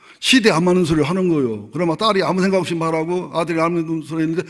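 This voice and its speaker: Audible room echo surrounds this recording. A man speaks at a fairly high pitch. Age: 60s. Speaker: pastor. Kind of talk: sermon. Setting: church. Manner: conversational.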